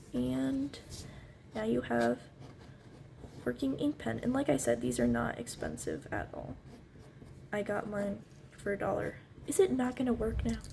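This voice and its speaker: Soft-spoken, a woman talks at a moderate pace. She takes long, frequent pauses. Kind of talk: ASMR tutorial. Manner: casual, hesitant.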